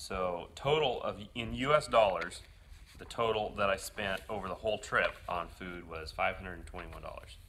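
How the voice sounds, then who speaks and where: A man speaks at a moderate pace, with big swings in loudness. Light background noise sits behind him. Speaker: motorcycle traveler vlogger. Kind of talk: casual vlog chat. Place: home room. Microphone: phone near.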